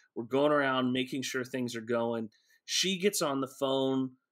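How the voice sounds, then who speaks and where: Against a quiet background, a man with an American accent speaks at a medium pitch in a bright, sharp tone. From Texas, Houston area. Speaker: pastor and author. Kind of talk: casual interview. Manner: hesitant, many fillers. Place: home room.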